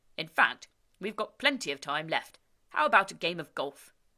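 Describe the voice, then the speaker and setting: In a put-on character voice, a female-sounding speaker talks in a booming tone at a middle pitch and a moderate pace. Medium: read story. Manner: jolly, easygoing.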